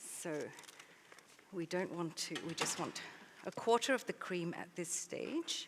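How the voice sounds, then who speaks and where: With long, frequent pauses, a woman talks at a fairly slow pace and ordinary pitch variation while noticeable background noise sits underneath. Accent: Australian. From Malaysia, later Australia. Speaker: baker and cookbook author. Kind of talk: live cooking demonstration. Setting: stage with audience.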